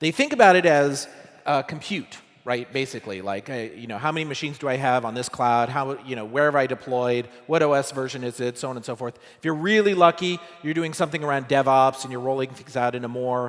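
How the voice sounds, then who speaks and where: A man speaks at a very fast pace in a medium pitch. His pitch varies in an ordinary way. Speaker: tech startup co-founder giving a conference talk. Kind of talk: conference talk. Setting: stage with audience. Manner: loud; casual, conversational with many fillers.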